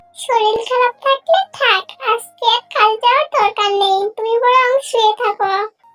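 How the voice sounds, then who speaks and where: A squeaky, cartoonish character voice with fairly even intonation and very even loudness. Faint music plays in the background. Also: woman, extremely high pitch for a woman, moderate pace, dry, close sound with no echo. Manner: caring, fussing.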